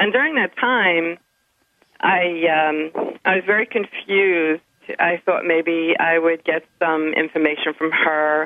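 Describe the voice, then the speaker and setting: Her pitch fairly low with ordinary variation, a woman speaks at a very slow pace. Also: very even loudness. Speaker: radio caller. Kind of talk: call-in question. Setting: phone call. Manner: halting, hesitant.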